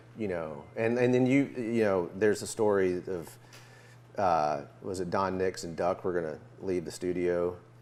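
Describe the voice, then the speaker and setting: A man's very deep, low voice with a Memphis accent, ordinary pitch variation and a moderate pace. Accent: Southern US (Memphis). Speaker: musician interviewer. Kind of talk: casual interview chat. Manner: halting, many fillers.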